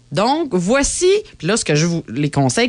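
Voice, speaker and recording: With a Quebec accent, a woman talks at a fairly slow pace in an animated tone, her pitch swinging very widely. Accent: Québécois French. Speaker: podcast co-host. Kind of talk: casual chat.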